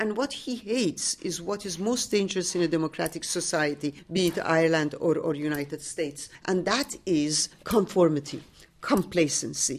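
Speaking with a Persian accent, a woman uses a fairly low pitch and lively intonation, with hardly any pauses. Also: moderate pace. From Iran, Tehran. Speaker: author and teacher. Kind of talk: interview. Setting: literary festival.

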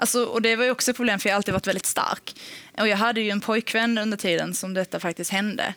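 A woman speaks very fast, her intonation fairly even. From Sweden, Helsingborg (Skåne). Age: 20s. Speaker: podcast guest. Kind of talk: personal testimony.

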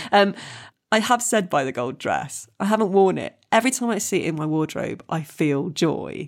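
A woman's ordinary speaking voice at medium pitch, lively intonation and a moderate pace, in a very clean recording with a silent background. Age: 40s. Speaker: comedian and actress. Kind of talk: casual chat.

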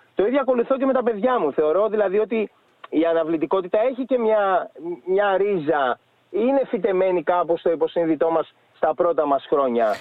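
A man's high voice with lively intonation, very even loudness, and a moderate pace. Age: 40s. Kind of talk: casual chat.

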